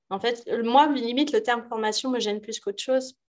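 Against a quiet background, a woman with a fairly high pitch speaks at a moderate pace. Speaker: yoga teacher. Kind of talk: casual chat. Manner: animated.

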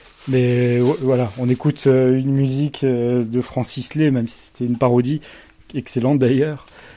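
Amid noticeable background noise, a man speaks at a fairly slow pace and a medium pitch. His intonation is monotone and flat, but his loudness swings widely. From Montpellier, southern France. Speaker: podcast host. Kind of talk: casual chat. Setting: at guest's home.

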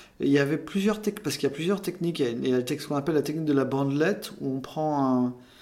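Talking at a very fast pace with hardly any pauses, this man has a dark, mellow tone, a fairly high pitch and ordinary pitch variation. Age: 40s. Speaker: cosmetic surgery patient. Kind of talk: testimony. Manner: halting.

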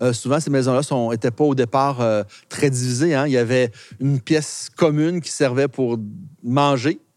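In a very clean recording with a silent background, a man speaks at a fairly high pitch and a fairly slow pace with fairly even intonation. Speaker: local historian. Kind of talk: guided walking tour explanation. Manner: hesitant, many euh fillers.

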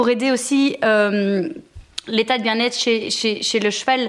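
A woman talks at a fairly slow pace and a high pitch, with ordinary pitch variation. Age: 30s. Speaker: entrepreneur. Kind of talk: interview.

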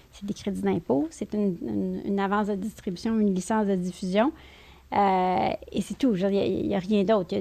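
A woman speaks at a medium pitch with a dark, mellow tone and a fairly quick pace. The recording is very clean, with a silent background. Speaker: film company CEO. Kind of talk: interview. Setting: in person studio.

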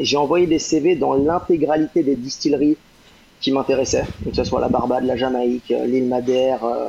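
A man's fairly high voice moves at a moderate pace with ordinary pitch variation, noticeable background noise behind him. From Brittany, France (Rennes). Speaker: rum distillery brand ambassador. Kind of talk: podcast interview. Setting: live online broadcast.

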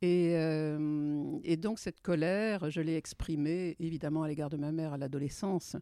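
Over a silent background in a very clean recording, a woman speaks fairly slowly with hardly any pauses, her very deep, low pitch carrying a dark, mellow tone and fairly even intonation. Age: 70s. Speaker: entrepreneur and women's rights activist. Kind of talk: interview.

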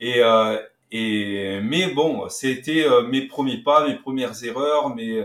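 A man talks with ordinary pitch variation at a medium pitch. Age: 50s. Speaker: trading instructor. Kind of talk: interview.

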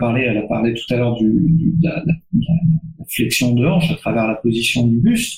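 A man speaks in a normal speaking voice at medium pitch, with ordinary pitch variation and a moderate pace. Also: hardly any pauses. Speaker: strength and conditioning coach. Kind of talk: webinar panel discussion.

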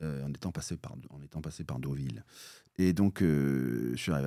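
A man speaks with very deep, low pitch and a dark, mellow tone. His intonation is lively. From Normandy, France (near Bayeux). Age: 50s. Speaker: entrepreneur, former trumpeter. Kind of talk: podcast interview.

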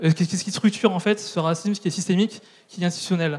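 A high-pitched male voice with fairly even intonation at a fairly quick pace, over noticeable background noise. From France, southern Brittany. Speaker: activist. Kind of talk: panel discussion. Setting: stage with audience.

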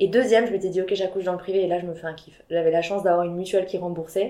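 Over noticeable background noise, a woman at medium pitch rushes along at a very fast pace in a monotone, flat intonation. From southwest France, Biarritz. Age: 30s. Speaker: entrepreneur and mother. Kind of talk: casual interview.

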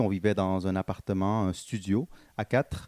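Dark and mellow in tone, a man speaks at a very slow pace in a dry, close sound with no echo. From Montreal, Quebec. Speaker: social entrepreneur. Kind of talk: interview. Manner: hesitant, many fillers; energetic.

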